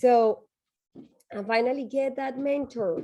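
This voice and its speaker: Speaking at a very slow pace, a woman has a dark, mellow tone and a strong Colombian accent. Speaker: tech nonprofit executive, panelist. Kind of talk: panel discussion advice.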